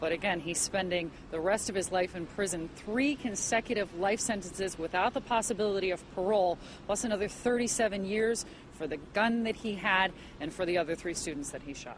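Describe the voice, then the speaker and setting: Speaking at a fairly quick pace, a woman uses a normal speaking voice at medium pitch with ordinary pitch variation. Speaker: news reporter. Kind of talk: TV news report.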